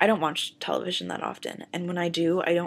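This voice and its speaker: Recorded very cleanly against a silent background, a woman with an American accent talks at a fairly quick pace in a fairly low pitch, with vocal fry. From Southern United States. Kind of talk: casual talk to camera.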